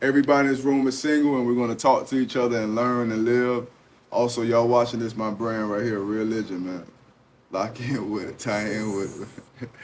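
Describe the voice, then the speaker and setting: A man's medium-pitched voice at a fairly quick pace, with fairly even intonation and audible room echo. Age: 40s. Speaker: event host and entrepreneur. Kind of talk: casual group discussion.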